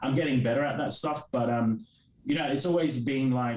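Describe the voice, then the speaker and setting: Someone with an Australian accent speaks at a fairly quick pace. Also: man. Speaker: comic creator. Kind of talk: interview. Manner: halting.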